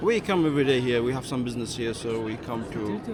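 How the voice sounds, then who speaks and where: Over noticeable background noise and audible room echo, a man speaks at a medium pitch and a fairly quick pace. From Syria. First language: Arabic. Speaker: sales manager, passerby. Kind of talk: casual street interview.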